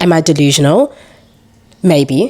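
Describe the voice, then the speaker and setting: Moderate pace and ordinary pitch variation from a woman with a very deep, low voice. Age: 20s. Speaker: entrepreneur and mother. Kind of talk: casual chat. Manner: animated.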